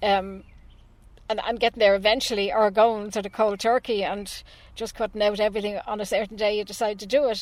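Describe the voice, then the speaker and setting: A woman with an Irish accent talks at a fairly quick pace in a fairly high, monotone, flat voice. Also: very clean recording, silent background. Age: 60s. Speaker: animal rights campaigner. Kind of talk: radio interview.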